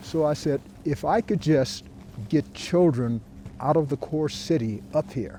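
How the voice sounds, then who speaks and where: Music plays in the background as a man with a fairly high pitch speaks at a fairly slow pace with lively intonation. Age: 80s+. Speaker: ski instructor. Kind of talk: interview answer.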